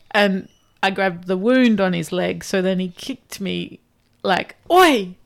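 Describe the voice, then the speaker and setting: A woman talks with ordinary pitch variation. Hers is an ordinary speaking voice. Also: medium pitch for a woman, fairly slow pace. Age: 30s. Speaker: outdoor adventurer. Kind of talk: casual chat.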